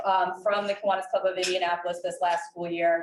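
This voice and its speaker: Noticeable background noise fills the recording. Through it, a woman talks with fairly even intonation. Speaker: nonprofit program representative. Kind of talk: club meeting talk. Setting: meeting room with audience, no microphone. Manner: loud.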